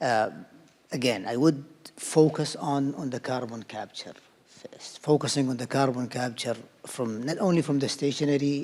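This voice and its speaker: Noticeable background noise sits behind a man speaking at a moderate pace with fairly even intonation. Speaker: energy company research director. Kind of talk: panel discussion. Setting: symposium stage. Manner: loud; halting.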